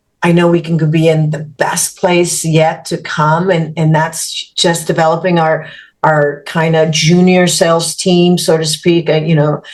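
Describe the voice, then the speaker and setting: Her voice is fairly low in pitch and somewhat breathy. The woman speaks at a fairly slow pace in a monotone, flat intonation. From Mexico. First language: Spanish. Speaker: business executive. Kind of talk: podcast interview.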